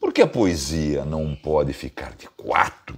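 A man speaks with a Brazilian accent. His tone is animated and theatrical. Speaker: poetry channel host, reciter. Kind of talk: poetry reading, declaimed spoken word. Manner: animated, theatrical; expressive, dramatic delivery. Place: home room. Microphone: phone near.

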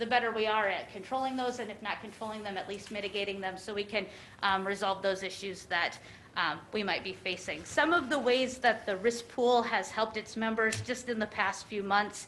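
Fairly high in pitch, a woman speaks in a plain, everyday voice at a fairly quick pace. Her pitch variation is ordinary. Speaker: insurance pool deputy director presenting to county commission. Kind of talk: formal presentation at public meeting. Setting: county commission meeting room.

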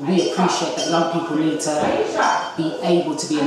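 There is loud background noise behind a woman's voice. Audible room echo can be heard as well. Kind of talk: interview answer. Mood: earnest, proud. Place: kitchen.

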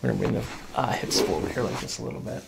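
A man talks at a very fast pace and medium pitch, with ordinary pitch variation, vocal fry, and audible room echo.

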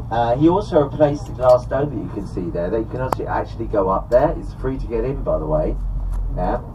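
A man talks at a very fast pace against noticeable background noise. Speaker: tour guide. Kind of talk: live commentary. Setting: on a sightseeing bus, PA system. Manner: chatty, humorous. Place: bus.

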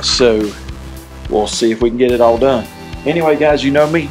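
Faint music plays behind a man who is talking. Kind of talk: casual vlog chat. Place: home room. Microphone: phone near.

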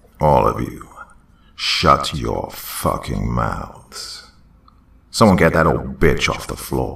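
In a put-on character voice, a man growls in a raspy, very deep, low tone, speaking very slowly with long, frequent pauses. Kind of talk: horror story reading. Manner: menacing, accusatory, preaching.

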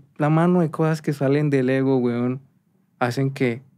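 A man with a Cali accent and fairly high pitch speaks at a fairly slow pace on a very clean recording with a silent background. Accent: Colombian Caleño Spanish. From Colombia, Cali. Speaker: musician and producer. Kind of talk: casual interview chat.

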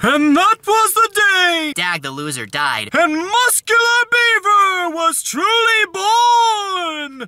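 A man puts on a character voice with an extremely high pitch. His delivery is very slow and dramatic in tone. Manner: dramatic, grandiose.

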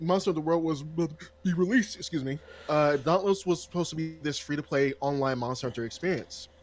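Speaking fairly quickly, a man uses a fairly high pitch with ordinary pitch variation. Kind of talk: casual chat. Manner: animated.

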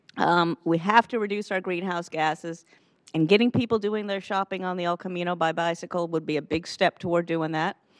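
Over a quiet background, a woman talks at a moderate pace and a fairly low pitch with fairly even intonation. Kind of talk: meeting statement. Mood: earnest advocacy. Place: hall. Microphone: headset.

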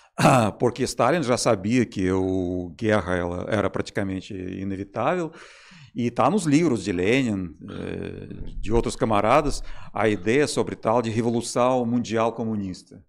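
A man's fairly slow speech in a Russian accent. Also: medium pitch for a man, ordinary pitch variation, quiet background. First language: Russian (speaking Portuguese). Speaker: physicist; podcast guest. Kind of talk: podcast interview. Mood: calm, explanatory. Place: studio. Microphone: studio mic.

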